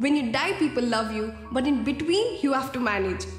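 A woman's high-pitched voice at a moderate pace, with audible room echo and faint music in the background. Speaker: speaker. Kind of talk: motivational talk with a story. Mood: warm, expressive storytelling. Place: studio.

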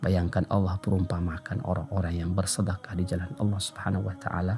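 Over clear music in the background, a man with a very deep, low voice talks at a fairly quick pace with ordinary pitch variation. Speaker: Islamic preacher. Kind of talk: Islamic sermon (kajian). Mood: calm, earnest. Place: studio. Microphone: studio mic.

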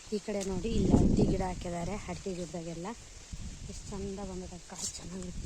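A woman speaks in a flat monotone with big swings in loudness. Noticeable background noise and audible room echo come through. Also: medium pitch for a woman. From Karnataka, Bayalu Seeme region (Chitradurga). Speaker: village vlogger. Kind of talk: casual vlog narration. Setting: outdoors in village.

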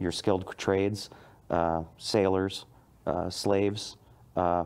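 A man's very deep, low voice, flat and monotone, at a very slow pace. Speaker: guest. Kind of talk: interview answer. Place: studio. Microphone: lapel.

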